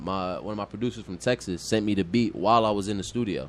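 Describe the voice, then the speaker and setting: Ordinary pitch variation marks a man's very fast speech. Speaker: rapper. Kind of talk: casual chat. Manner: fast talker.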